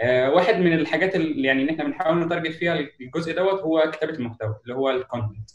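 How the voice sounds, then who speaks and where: Very fast, fairly high speech from a man, ordinary pitch variation, noticeable background noise. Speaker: UX writing specialist. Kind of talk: webinar talk.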